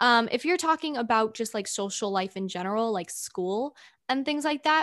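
A woman talks in a plain, everyday voice at a fairly high pitch. Her intonation is lively, and the background is quiet. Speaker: podcast host. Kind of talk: casual Q&A chat.

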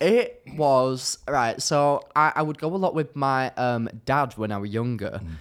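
In a British accent, a man speaks at a fairly slow pace in a medium pitch with lively intonation. The recording is very clean, with a silent background. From UK. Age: 20s. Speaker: social media content creator. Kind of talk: casual chat. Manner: animated.

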